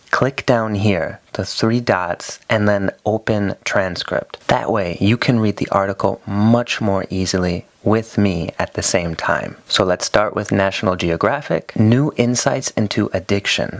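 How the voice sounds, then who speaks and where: A man with an American accent speaks at a fairly slow pace with hardly any pauses, his pitch fairly low. The sound is dry and close with no echo, though background noise is noticeable. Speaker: English teacher. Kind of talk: tutorial.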